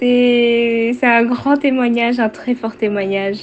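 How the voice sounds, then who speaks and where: Music plays in the background as the voice moves at a very slow pace with fairly even intonation. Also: woman. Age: 20s. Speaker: testimony giver. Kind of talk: testimony. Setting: recorded voice message. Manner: halting, many fillers.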